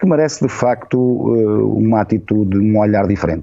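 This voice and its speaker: A man with a fairly low pitch talks with ordinary pitch variation. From Portugal. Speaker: journalist and former radio director. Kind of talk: casual interview chat. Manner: slow, deliberate; hesitant, with fillers and repetitions.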